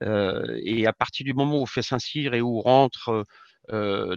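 A man speaks at a medium pitch with ordinary pitch variation, his voice dry and close with no echo against a quiet background. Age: 60s. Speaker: retired army general and speaker. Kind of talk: interview. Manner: hesitant, many filler sounds.

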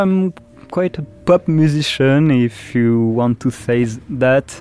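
A man with a French accent talks at a very slow pace, the sound dry and close with no echo but with noticeable background noise. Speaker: musician. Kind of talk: interview. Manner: halting.

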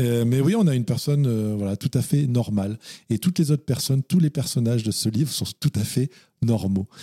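A man speaks at a fairly quick pace in a medium pitch, with a dark, mellow tone that is somewhat breathy. Pitch variation is ordinary, and the sound is dry and close with no echo. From France. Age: 40s. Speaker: novelist. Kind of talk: interview.

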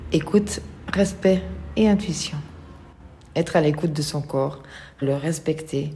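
Speaking very slowly with long, frequent pauses, a woman uses a very deep, low pitch and fairly even intonation. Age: 50s. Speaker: person living with multiple sclerosis. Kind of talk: testimony. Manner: halting.

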